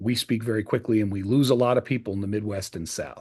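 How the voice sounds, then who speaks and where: A man with an American accent speaks at a very fast pace. His medium pitch holds fairly even intonation. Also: quiet background. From US Northeast. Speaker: presentation skills trainer. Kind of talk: training video. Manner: louder, clearer, enunciated.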